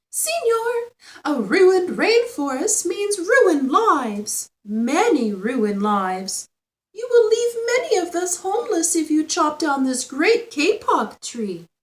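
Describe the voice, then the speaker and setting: Putting on a squeaky character voice, a woman talks at an extremely high pitch and a fairly slow pace, her pitch swinging very widely. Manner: pleading, urgent.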